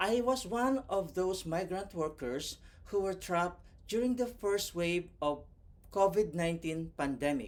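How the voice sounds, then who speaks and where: On a very clean recording with a silent background, a man with a non-native accent and a high pitch speaks at a fairly slow pace with very wide pitch swings. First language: not English. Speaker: vlogger and overseas worker. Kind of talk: motivational tutorial. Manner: scripted, careful delivery.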